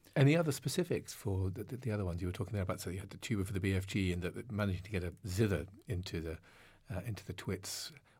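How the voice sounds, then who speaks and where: A man's fairly low, somewhat breathy voice at a very fast pace, with ordinary pitch variation, on a very clean recording with a silent background. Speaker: interviewer. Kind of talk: interview.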